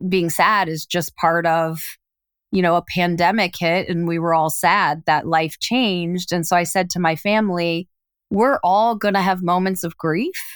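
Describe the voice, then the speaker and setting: In a very clean recording with a silent background, a woman with an unremarkable speaking voice talks at a fairly slow pace and a medium pitch, with ordinary pitch variation. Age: 50s. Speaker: executive coach and author. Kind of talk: casual chat.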